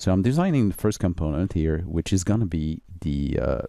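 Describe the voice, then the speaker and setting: With a French accent, a man speaks in a very deep, dark, mellow voice, with lively intonation and very even loudness. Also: very clean recording, silent background. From France or French-speaking region. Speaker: software tutorial maker. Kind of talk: tutorial. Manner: halting, many fillers.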